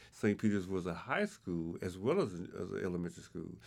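A man with a Southern US accent, fairly low pitch, ordinary pitch variation and a fairly quick pace. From Arkansas, Pine Bluff. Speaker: community elder. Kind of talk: interview.

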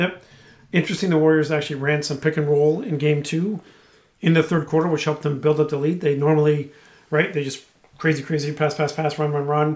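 Here a man speaks at a fairly quick pace. His pitch is fairly high. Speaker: podcast co-host. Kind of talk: casual chat. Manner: loud; animated.

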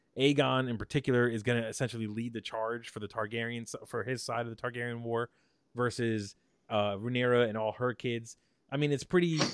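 Delivered at a fairly quick pace, this is an ordinary speaking voice with fairly even intonation. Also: man, medium pitch for a man. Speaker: podcast host. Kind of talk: casual chat.

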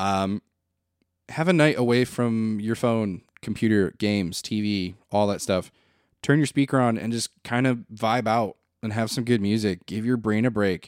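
The voice has an American accent and moves at a moderate pace. It is an ordinary speaking voice with ordinary pitch variation. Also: man, medium pitch for a man. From Flint, Michigan. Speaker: podcast host. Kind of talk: casual monologue.

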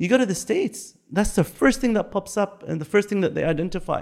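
Using very wide pitch swings, a man speaks in an Arabic accent. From Bahrain. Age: 50s. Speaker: interview guest. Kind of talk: casual interview.

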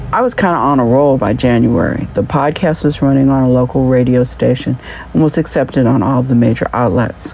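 A woman's very deep, low-pitched voice at a fairly quick pace and very even loudness, with music in the background. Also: ordinary pitch variation. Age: 60s. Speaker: humor podcaster and journalist. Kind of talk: scripted monologue.

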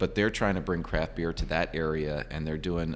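His pitch sits very deep and low. This man has an American accent. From Virginia, US. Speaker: brewery owner. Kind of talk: interview. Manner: halting.

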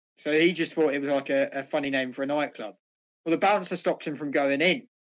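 The pace here is fairly quick. The voice carries a British accent. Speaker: podcast co-host. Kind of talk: casual banter among friends. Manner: joking, sarcastic.

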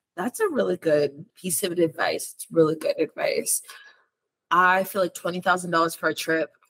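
The pace is fairly slow, with big swings in loudness. The sound is dry and close with no echo. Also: woman. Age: 30s. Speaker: podcast host and lifestyle blogger. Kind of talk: interview. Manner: animated.

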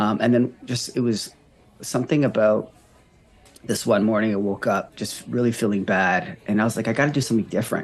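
Over background music, a man with a Canadian accent speaks at a medium pitch and fairly quick pace with ordinary pitch variation. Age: 30s. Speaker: recovery coach and marathon runner. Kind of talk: casual interview conversation.

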